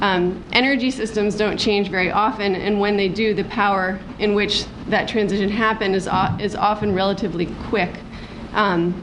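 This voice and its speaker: With noticeable background noise and audible room echo, a woman speaks at a fairly quick pace in a medium pitch with fairly even intonation. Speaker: activist. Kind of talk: conference talk, partly read from notes. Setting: workshop panel with audience. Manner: halting, many false starts.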